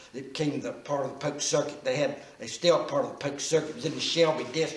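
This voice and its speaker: In an American accent, a man speaks at a fairly quick pace over noticeable background noise and audible room echo. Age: 70s. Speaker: local historian. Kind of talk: oral history interview. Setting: church. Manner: halting.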